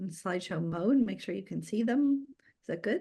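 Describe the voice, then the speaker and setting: Somewhat breathy, a woman speaks in a fairly high pitch with lively intonation. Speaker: community energy organizer. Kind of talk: presentation.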